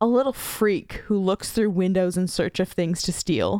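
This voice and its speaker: A woman with a normal speaking voice talks at a fairly slow pace, medium in pitch with ordinary variation, in a dry, close sound with no echo on a very clean recording with a silent background. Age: 20s. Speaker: podcast host. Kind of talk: casual chat; reading aloud. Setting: home by a fire.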